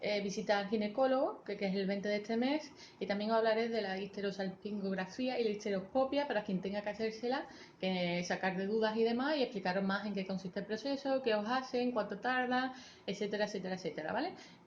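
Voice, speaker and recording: Her pitch is medium, with ordinary variation. This woman speaks at a very fast pace. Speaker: vlogger. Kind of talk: personal vlog talking to camera.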